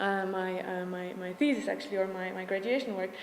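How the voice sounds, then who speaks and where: A woman speaks with a Slovak accent, her voice carrying audible room echo amid noticeable background noise. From Slovakia. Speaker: urban design student. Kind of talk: presentation. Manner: fast; halting, many fillers.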